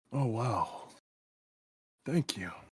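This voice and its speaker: A man puts on a character voice at medium pitch. The voice is raspy. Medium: actual play.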